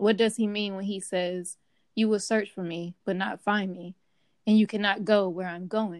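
A woman speaks at a moderate pace and medium pitch with monotone, flat intonation, her loudness swinging widely. The recording is very clean, with a silent background. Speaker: co-host bible study participant. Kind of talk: bible study discussion.

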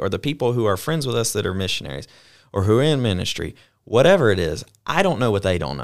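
Against a silent background on a very clean recording, a man with a Southern US accent talks very fast with very wide pitch swings. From US South (Mobile, Alabama). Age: 20s. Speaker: podcast host, missionary. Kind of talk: casual chat.

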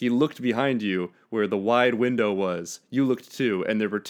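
With ordinary pitch variation, a natural voice reads text aloud.

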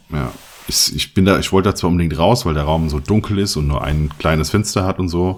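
Noticeable background noise surrounds a man with a very deep, low pitch. He talks at a fairly quick pace with ordinary pitch variation. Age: 30s. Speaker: photographer and podcast co-host. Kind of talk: casual chat.

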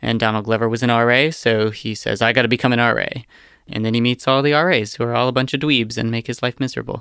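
A man speaks very fast at a medium pitch, his tone bright and sharp and his intonation fairly even. The recording is very clean, with a silent background. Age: 20s. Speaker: podcast producer. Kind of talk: casual chat.

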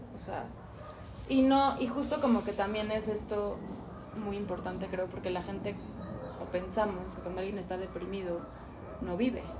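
A woman at a medium pitch speaks at a moderate pace with ordinary pitch variation and long, frequent pauses, with audible room echo and noticeable background noise. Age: 30s. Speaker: yoga teacher. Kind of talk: casual chat.

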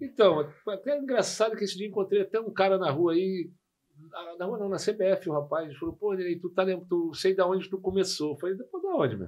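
A man speaks at a high pitch and a fairly quick pace. His pitch variation is ordinary. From Rio de Janeiro, Brazil (Jacarepaguá). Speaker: football coach, former player. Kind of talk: casual chat.

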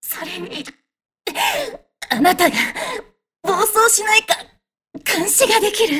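An extremely high, put-on character voice from a woman, delivered at a fairly slow speed. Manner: halting, quiet.

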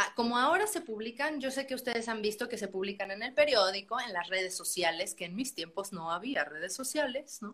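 A woman in a normal speaking voice keeps a moderate pace, her fairly high pitch carrying lively intonation. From Mexico, San Luis Potosí. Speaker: musical theatre actress. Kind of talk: casual interview.

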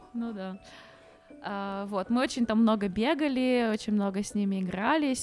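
Against noticeable background noise, a woman of medium pitch speaks at a fairly slow pace with ordinary pitch variation. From Ukraine. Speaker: podcast co-host. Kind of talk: casual chat.

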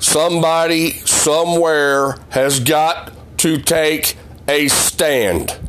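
A man's fairly high voice in a Southern US accent, very slow and fairly even in intonation, over noticeable background noise. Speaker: podcast host and former auto worker. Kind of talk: ranting monologue.

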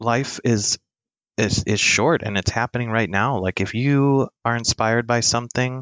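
A man at medium pitch uses a normal speaking voice at a moderate pace with fairly even intonation and very even loudness. The sound is dry and close, with no echo. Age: 30s. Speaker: photographer. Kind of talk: casual chat.

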